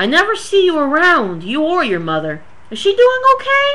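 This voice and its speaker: A woman's squeaky, put-on character voice at an extremely high pitch and a moderate pace, with light background noise. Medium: read story. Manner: chatty, familiar, calls listener darling and honey.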